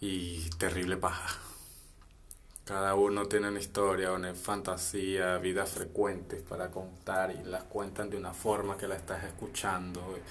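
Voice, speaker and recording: In a room with audible echo, a man with a very deep, low pitch speaks in a monotone, flat way at a fairly slow pace. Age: 20s. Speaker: podcaster. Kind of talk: solo monologue.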